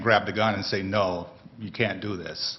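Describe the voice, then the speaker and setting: Moderate pace from a man in an American accent. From US South. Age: 60s. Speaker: panelist, brother of wrongfully accused man. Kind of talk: testimony.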